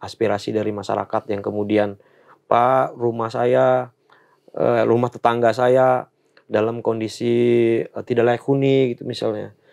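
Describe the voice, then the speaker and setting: Over a quiet background, a man speaks at a medium pitch and moderate pace with monotone, flat intonation. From Banten, Lebak regency (fishing village); Banten, Indonesia. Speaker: political staffer, former journalist; former journalist. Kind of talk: interview. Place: studio.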